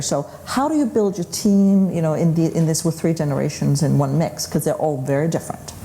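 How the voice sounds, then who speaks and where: A woman with a Danish accent speaks at a fairly quick pace in a fairly low pitch, with ordinary pitch variation. Noticeable background noise and audible room echo fill the recording. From Denmark. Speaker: panel moderator. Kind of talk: panel discussion. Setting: conference stage with audience.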